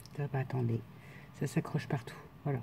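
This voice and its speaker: A woman talks in a somewhat breathy voice with a dark, mellow tone. Her intonation is lively. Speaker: scrapbooking crafter. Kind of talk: casual craft tutorial talk to camera. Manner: casual, hesitant.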